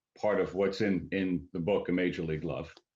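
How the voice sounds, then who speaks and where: A man with a fairly low pitch talks at a fairly quick pace. The background is quiet. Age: 60s. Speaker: author. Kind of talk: interview. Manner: halting, many fillers.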